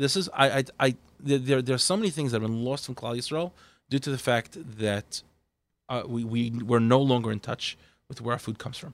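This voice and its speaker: An unremarkable speaking voice from a man, medium in pitch with ordinary pitch variation, on a very clean recording with a silent background. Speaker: kosher duck producer. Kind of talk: casual chat.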